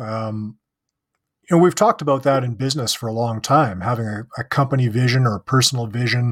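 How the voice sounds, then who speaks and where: A man with a Canadian accent speaks at a fairly quick pace and medium pitch, with ordinary pitch variation. His voice is somewhat breathy, and the recording is very clean with a silent background. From Canada. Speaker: podcast host. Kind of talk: casual interview.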